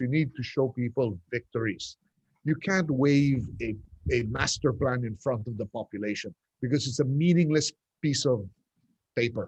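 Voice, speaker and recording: A man speaks at a moderate pace and medium pitch with ordinary pitch variation, somewhat breathy. The sound is dry and close with no echo. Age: 60s. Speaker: urban development advocate. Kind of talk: panel discussion. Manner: halting.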